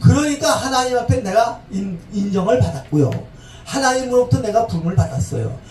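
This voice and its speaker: A man's high voice at a fairly quick pace, with very wide pitch swings, audible room echo and music in the background. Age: 70s. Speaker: pastor. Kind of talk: sermon. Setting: church service.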